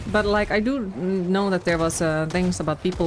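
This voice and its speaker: With music in the background, a woman speaks at a moderate pace, her fairly low pitch showing ordinary variation. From Finland. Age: 20s. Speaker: video game streamer. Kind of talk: casual chat. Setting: live stream.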